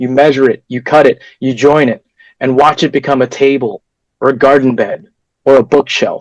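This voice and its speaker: In an ordinary speaking voice, a man talks at a moderate pace and fairly high pitch, with fairly even intonation and a dry, close sound with no echo. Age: 20s. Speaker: toastmasters club speaker, carpenter. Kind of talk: prepared speech.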